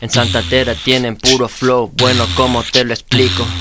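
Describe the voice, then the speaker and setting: With noticeable background noise around him, a man talks at a fairly slow pace and a medium pitch. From Chihuahua, northern Mexico. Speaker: reggaeton and trap artist. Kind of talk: casual chat.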